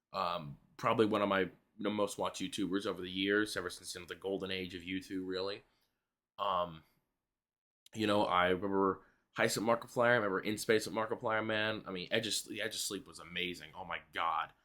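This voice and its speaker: A man speaks in a fairly low pitch with a bright, sharp tone and fairly even intonation. The recording is very clean, with a silent background. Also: fairly quick pace, big swings in loudness. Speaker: YouTuber, movie reviewer. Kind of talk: casual vlog review. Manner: quiet; hesitant, many fillers.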